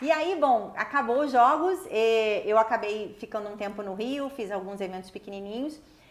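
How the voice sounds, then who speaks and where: A woman talks with hardly any pauses at a fairly high pitch. Her intonation is lively. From Brazil, Rio de Janeiro. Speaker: international sports event executive. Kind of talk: interview. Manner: fast.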